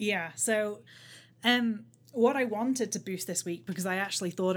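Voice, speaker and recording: A woman at a moderate pace, ordinary pitch variation and an ordinary speaking voice, in a very clean recording with a silent background. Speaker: podcast host. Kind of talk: casual chat. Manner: self-deprecating, rambling.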